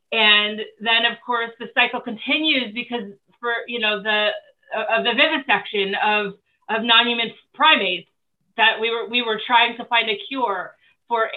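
A woman with an American accent, fairly high-pitched, at a moderate pace. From New Jersey. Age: 40s. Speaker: vegan advocate and author. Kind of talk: interview.

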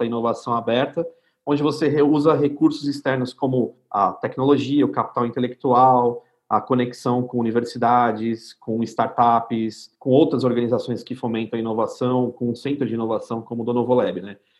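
Speaking at a moderate pace with hardly any pauses, a man has an unremarkable speaking voice at medium pitch. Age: 30s. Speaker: innovation center CEO. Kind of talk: casual interview chat.

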